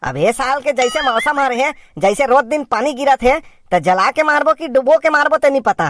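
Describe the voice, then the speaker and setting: Here is a cartoonish character voice with a high pitch. It runs at a fairly quick pace with hardly any pauses. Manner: grumbling, sarcastic.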